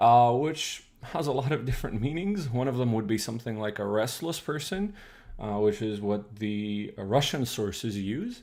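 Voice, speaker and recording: Speaking with a Croatian accent, a man uses lively intonation at a medium pitch. His pace is moderate, and the room echo is audible. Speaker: streamer teaching old Russian. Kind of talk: live stream lecture. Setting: live stream. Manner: hesitant, many fillers.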